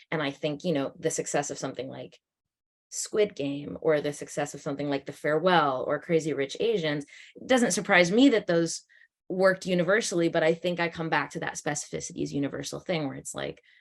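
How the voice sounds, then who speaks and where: Using vocal fry and a very deep, low pitch, a woman speaks at a fairly quick pace with ordinary pitch variation and big swings in loudness. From Canada, Toronto. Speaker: actor and director. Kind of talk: panel discussion.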